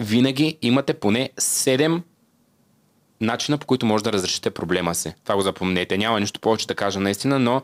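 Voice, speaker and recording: Speaking fairly quickly, a man uses lively intonation against a quiet background. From Bulgaria, Svilengrad (southeast); Bulgaria. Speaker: singer and TikTok creator; TikTok creator. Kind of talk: casual interview chat. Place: studio. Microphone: studio mic.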